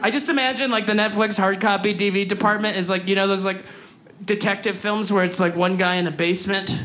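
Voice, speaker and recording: Noticeable background noise runs under speech with fairly even intonation. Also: man. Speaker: stand-up comedian. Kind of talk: stand-up comedy routine. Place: stage. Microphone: handheld.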